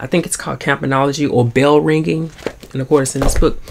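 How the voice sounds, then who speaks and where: Here a man speaks with an American accent and ordinary pitch variation. Light background noise sits behind him. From US Deep South. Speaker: book vlogger. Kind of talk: casual chat. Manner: swallows words. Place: home room. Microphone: phone near.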